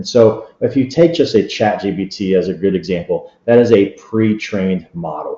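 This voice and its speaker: A man's fairly low voice with ordinary pitch variation and hardly any pauses. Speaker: technology expert presenter. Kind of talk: webinar presentation. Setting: online webinar. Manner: fast.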